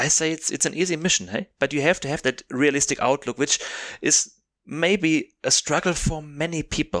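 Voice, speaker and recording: In a very clean recording with a silent background and a dry, close sound with no echo, a man with a German accent speaks at a fairly high pitch and moderate pace with ordinary pitch variation. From southern Germany. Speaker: podcast co-host. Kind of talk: casual comedic chat.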